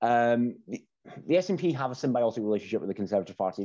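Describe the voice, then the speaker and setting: Very fast speech comes in a Scottish accent with a dark, mellow tone. The background stays quiet. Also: man. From Scotland. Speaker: former political strategist. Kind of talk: casual interview.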